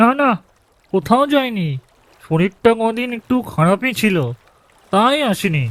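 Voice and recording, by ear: A cartoonish character voice, fairly high in pitch, at a fairly slow pace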